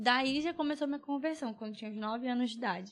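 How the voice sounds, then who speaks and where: Speaking with ordinary pitch variation, a woman has a high pitch. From Brazil, Belém, Pará. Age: 20s. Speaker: nurse and church cell leader. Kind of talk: podcast interview testimony.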